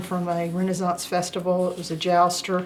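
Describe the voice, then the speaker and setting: A woman with a Southern US accent talks at a medium pitch and a fairly quick pace. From US South. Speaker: crafter, journal maker. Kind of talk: show-and-tell tutorial. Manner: hesitant, many filler uhs.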